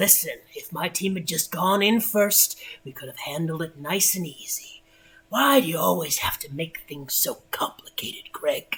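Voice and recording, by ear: A gruff, put-on character voice at middle pitch moves at a moderate pace.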